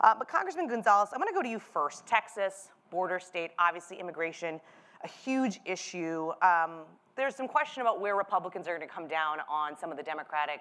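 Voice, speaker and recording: Over noticeable background noise, a woman talks at a very fast pace. Her medium pitch shows ordinary variation. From US Midwest. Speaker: political journalist moderating a panel. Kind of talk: live panel moderation.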